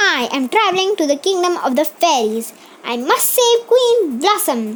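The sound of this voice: A squeaky, put-on character voice from a woman, extremely high-pitched, with very wide pitch swings at a moderate pace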